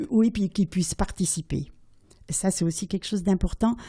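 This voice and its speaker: On a very clean recording with a silent background, a woman speaks at medium pitch with ordinary pitch variation in a dark, mellow, somewhat breathy tone. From Switzerland. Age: 80s+. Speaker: storyteller. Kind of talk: interview answer.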